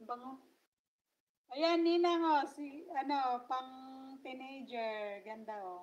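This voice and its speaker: A woman speaks very slowly at a high pitch, with lively intonation and big swings in loudness. Long pauses come often. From Philippines. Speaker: vlogger. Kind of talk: livestream chat. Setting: live stream. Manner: casual, chatty with fillers. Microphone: voice cutting out.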